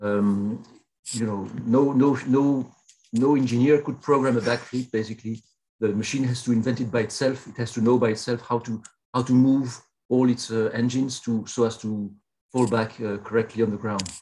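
With a dark, mellow tone, a man speaks at a moderate pace in a monotone, flat intonation. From Belgium. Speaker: professor. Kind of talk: keynote lecture. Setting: video call.

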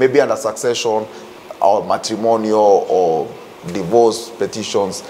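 Faint background noise sits behind a man whose fairly low pitch and dark, mellow tone come at a fairly slow pace. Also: ordinary pitch variation.

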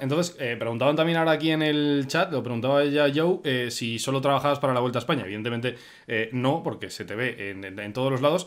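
This man's intonation is lively, and his pace is very fast. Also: quiet background. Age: 20s. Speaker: streamer host. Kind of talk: live stream chat. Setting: live stream. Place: home room. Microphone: earbuds.

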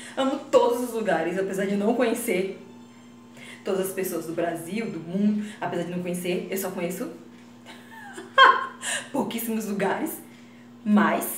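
The speaker has a northeastern Brazilian accent, heard with audible room echo and light background noise. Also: woman. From Northeast Brazil. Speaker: comedy vlogger. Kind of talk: casual talk to camera. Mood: proud, playful. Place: bathroom.

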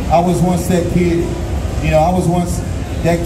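A man is speaking. Music plays in the background. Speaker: guest. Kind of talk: interview answer. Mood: grateful, earnest. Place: hall. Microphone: pa.

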